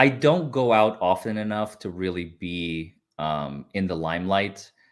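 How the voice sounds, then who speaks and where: A man is speaking. He has a Northern US accent. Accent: self-made Northern US-like. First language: Russian. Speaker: lawyer. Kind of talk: casual chat.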